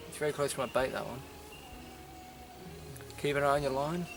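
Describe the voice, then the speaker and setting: Quiet and medium in pitch, a man with an Australian accent speaks over music in the background. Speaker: angler. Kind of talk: casual fishing tutorial to camera. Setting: outdoors. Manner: quiet, kept voice down.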